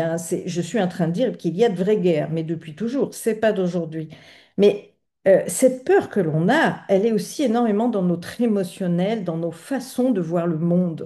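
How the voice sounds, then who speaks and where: Lively intonation runs through this woman's dark, mellow tone as she speaks at a moderate pace. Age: 60s. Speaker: astrologer, channel host. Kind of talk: video monologue on astrology. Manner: hesitant, many fillers.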